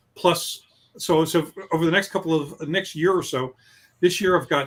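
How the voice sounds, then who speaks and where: The speaker is a man. His pitch is fairly high. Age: 60s. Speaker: novelist. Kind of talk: interview. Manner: halting.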